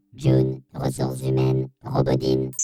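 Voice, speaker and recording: Over loud background music, a put-on character voice at a very deep, low pitch speaks at a moderate pace in a flat monotone. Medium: audio drama. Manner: flat, clipped listing.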